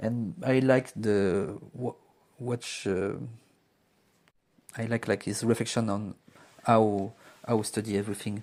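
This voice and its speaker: With a French accent, a man speaks very slowly in a fairly low pitch and fairly even intonation, leaving long, frequent pauses. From France. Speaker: student. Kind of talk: student podcast presentation. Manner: halting; hesitant with fillers.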